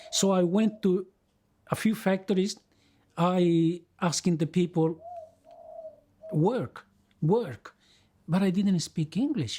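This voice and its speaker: A man with a Spanish accent, high in pitch and dark, mellow in tone, at a very slow pace with long, frequent pauses, very even loudness and ordinary pitch variation. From Chile, rural village. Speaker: migrant interviewee. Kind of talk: life-story interview. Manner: halting, many repetitions and self-corrections.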